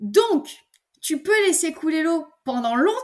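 At a fairly slow pace, a woman speaks. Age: 20s. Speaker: eco-lifestyle content creator. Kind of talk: casual interview chat. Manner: hesitant, many fillers and repetitions.

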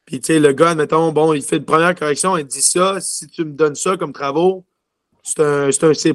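The delivery comes at a moderate pace with fairly even intonation and big swings in loudness. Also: man. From Quebec City. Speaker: junior hockey player. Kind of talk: interview. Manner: halting.

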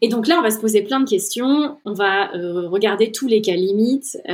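A woman speaks at a fairly slow pace in a medium pitch with ordinary pitch variation. It is an unremarkable speaking voice. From central France, Orléans. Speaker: head of product at a software company. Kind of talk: interview.

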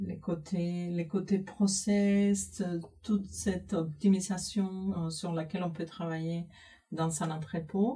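A woman with a Spanish accent talks at a very slow pace, using long, frequent pauses. Her voice is fairly low-pitched, somewhat breathy and dark and mellow in tone, with fairly even intonation. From Cuba. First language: Spanish (speaking French). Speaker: IT systems manager. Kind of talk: interview.

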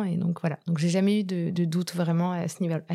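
A woman speaks at a medium pitch with a dark, mellow tone, on a very clean recording with a silent background. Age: 30s. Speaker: shoe company executive. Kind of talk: interview.

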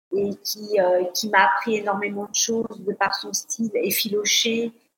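In an ordinary speaking voice, a woman at a medium pitch talks with fairly even intonation. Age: 50s. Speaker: fashion influencer. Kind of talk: interview.

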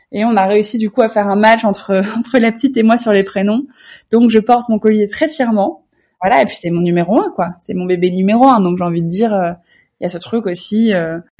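A dark, mellow tone comes through in a somewhat breathy voice. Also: woman, fairly high pitch for a woman, ordinary pitch variation. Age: 30s. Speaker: lifestyle blogger. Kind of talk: interview. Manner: hesitant, with repetitions.

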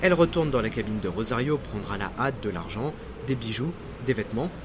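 Speaking at a fairly quick pace, a man uses a medium pitch. Noticeable background noise sits behind him. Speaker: podcast narrator, maritime history storyteller. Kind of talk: scripted true-crime disaster narration, storytelling. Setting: studio, solo recording. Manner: suspenseful, vivid, dramatic storyteller; measured, paced narration.

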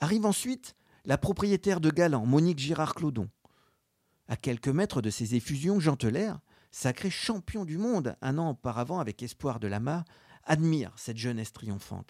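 Here a man speaks at a fairly high pitch with very wide pitch swings. The sound is dry and close with no echo, on a very clean recording with a silent background. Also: moderate pace. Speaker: sports history journalist and podcast narrator. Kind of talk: scripted narration.

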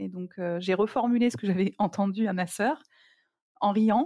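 The recording is very clean, with a silent background and a dry, close sound with no echo. A woman speaks at a moderate pace with ordinary pitch variation. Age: 40s. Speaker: cancer survivor and stage performer. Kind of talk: personal testimony interview.

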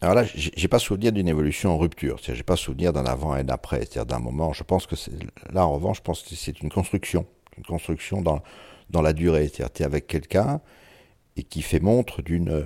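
On a very clean recording with a silent background, a man speaks very fast in a very deep, low voice with a dark, mellow tone and vocal fry. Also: ordinary pitch variation. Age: 60s. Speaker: interviewee sharing intimate life story. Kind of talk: personal testimony interview. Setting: at his home. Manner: halting, frequent repetitions; eloquent.

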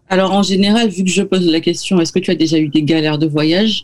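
A normal speaking voice from a woman, fairly low in pitch, with ordinary pitch variation and a fairly quick pace. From Martinique. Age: 30s. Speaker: travel blogger and podcaster. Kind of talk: radio interview. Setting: video call.

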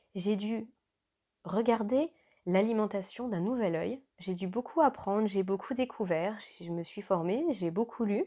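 On a very clean recording with a silent background, a woman with a dark, mellow tone speaks at a fairly slow pace and medium pitch, with ordinary pitch variation. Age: 30s. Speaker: podcast host, mother. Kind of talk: solo podcast introduction.

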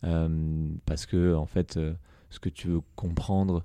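Over a quiet background, a man speaks in a very deep, low pitch with a dark, mellow tone and fairly even intonation. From France, Eure-et-Loir (Dreux). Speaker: startup founder. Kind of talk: casual interview. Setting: office.

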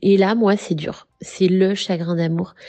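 A woman talks with a monotone, flat intonation. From western France, near Saint-Nazaire. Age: 30s. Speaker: interviewee sharing love story. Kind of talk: personal testimony. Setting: voice messages recorded on phone. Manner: hesitant, with fillers.

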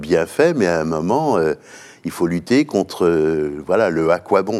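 Very slowly, a man speaks in a very deep, low voice with lively intonation. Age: 70s. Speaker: business executive. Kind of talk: interview. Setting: company headquarters. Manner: halting.

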